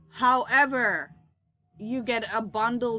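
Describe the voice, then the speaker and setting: A woman speaks with a Montserratian accent in a bright, sharp tone. The background is quiet. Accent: Caribbean (Montserratian) English. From Caribbean, Montserrat. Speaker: product reviewer. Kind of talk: casual product review. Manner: halting, many fillers.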